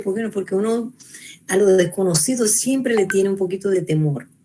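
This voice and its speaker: There is noticeable background noise. A woman speaks at a fairly quick pace over it. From Venezuela. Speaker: psychologist lecturer. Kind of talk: lecture.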